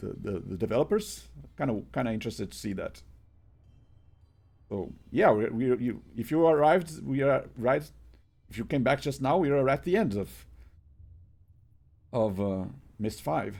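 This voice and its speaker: Marked by vocal fry and very wide pitch swings, the voice moves at a moderate pace with long, frequent pauses in a very clean recording with a silent background. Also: man, medium pitch for a man. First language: Portuguese. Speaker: game streamer. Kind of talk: casual live-stream chat. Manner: halting, many repetitions and fillers.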